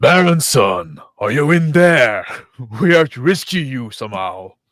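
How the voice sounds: A man in a put-on character voice speaks at a moderate pace and medium pitch, on a very clean recording with a silent background.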